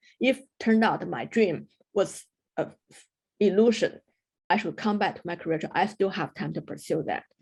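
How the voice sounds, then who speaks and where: A woman with a Chinese accent and vocal fry, fairly quick in pace yet with long, frequent pauses, ordinary pitch variation, on a very clean recording with a silent background. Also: medium pitch for a woman. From China. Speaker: mountaineer. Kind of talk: interview.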